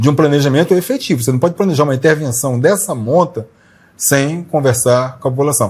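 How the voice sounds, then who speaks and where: A man with a fairly high pitch and a somewhat breathy voice talks at a fairly quick pace, with ordinary pitch variation and very even loudness. The recording is very clean, with a silent background. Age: 60s. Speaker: journalist, interview show host. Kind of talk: channel promo appeal to viewers; casual interview talk.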